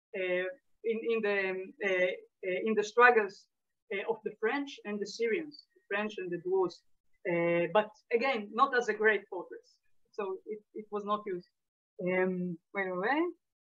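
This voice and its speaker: A woman with an Israeli accent and ordinary pitch variation. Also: medium pitch for a woman, fairly slow pace. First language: Hebrew. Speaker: lecturer, historian. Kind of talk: lecture Q&A. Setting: video call. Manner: halting, many fillers.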